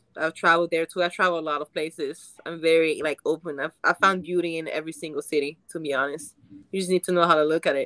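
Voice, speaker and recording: At a very fast pace, a woman with a fairly low pitch speaks in a monotone, flat delivery with a bright, sharp tone and a dry, close sound with no echo. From France, Paris. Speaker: actress, dating show contestant. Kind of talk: casual dating chat.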